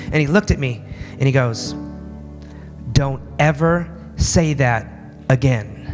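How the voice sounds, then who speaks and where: A man talks in an animated tone. Music can be heard in the background. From Alaska. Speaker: motivational speaker. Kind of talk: motivational speech.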